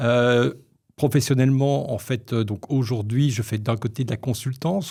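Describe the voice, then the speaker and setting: A man speaks in a somewhat breathy voice with a dark, mellow tone. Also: very clean recording, silent background. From Belgium, Brussels (Molenbeek). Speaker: media and marketing consultant. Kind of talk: podcast interview. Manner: hesitant, with false starts.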